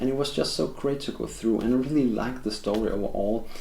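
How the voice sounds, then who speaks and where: At a fairly quick pace, a man with a Danish accent speaks amid audible room echo. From Denmark. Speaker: film reviewer. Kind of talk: video review monologue. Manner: halting, with frequent fillers and restarts.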